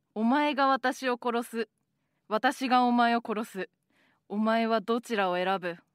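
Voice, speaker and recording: A woman's fairly high voice at a very slow pace, with fairly even intonation, in a dry, close recording with no echo, very clean against a silent background. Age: 30s. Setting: private recording played in court. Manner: shouting, threatening.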